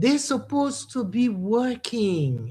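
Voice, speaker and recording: The voice is somewhat breathy and swings very widely in pitch. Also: woman. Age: 70s. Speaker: musician and women's advocate. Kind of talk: radio talk show interview.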